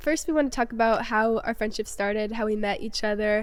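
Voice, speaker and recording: In a very clean recording with a silent background, a woman with an unremarkable speaking voice talks fairly quickly at a fairly high pitch with fairly even intonation. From upstate New York. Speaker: podcast host. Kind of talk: casual chat.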